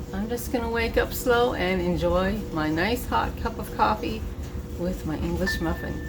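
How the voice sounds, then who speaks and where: A woman speaks at a fairly slow pace. Music plays in the background and the room echo is audible. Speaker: vlogger. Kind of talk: casual vlog narration.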